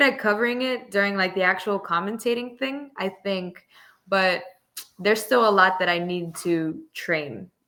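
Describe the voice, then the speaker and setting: Speaking at a fairly slow pace, a woman uses lively intonation. Her tone is bright and sharp at a medium pitch. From South Florida, Miami area, Cuban-American community. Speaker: esports commentator. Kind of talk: casual interview chat.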